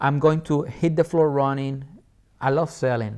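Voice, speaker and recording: A man speaks in a fairly high voice with a Puerto Rican accent. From Puerto Rico. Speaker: entrepreneur and Air Force veteran. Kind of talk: interview conversation. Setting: studio. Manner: animated.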